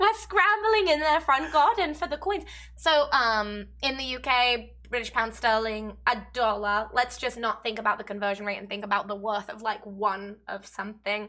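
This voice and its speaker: A woman with an English accent speaks with hardly any pauses, her fairly high pitch, bright, sharp tone and lively intonation standing out. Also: moderate pace, very clean recording, silent background. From England. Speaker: gaming video co-host. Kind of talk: casual chat.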